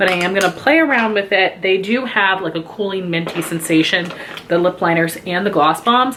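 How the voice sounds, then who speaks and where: Against noticeable background noise, a woman talks at a fairly quick pace and a medium pitch with lively intonation. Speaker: beauty YouTuber. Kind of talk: product review. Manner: fast.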